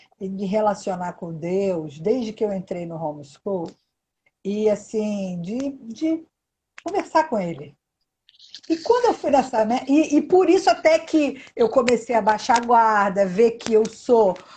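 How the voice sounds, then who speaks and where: A woman's fairly high, somewhat breathy voice with very wide pitch swings at a fairly slow pace. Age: 60s. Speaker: live stream host. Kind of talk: live video chat.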